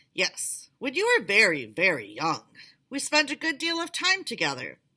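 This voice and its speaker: A put-on character voice, female-sounding and high-pitched, at a moderate pace on a very clean recording with a silent background. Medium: read story. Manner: smooth, insinuating, menacing.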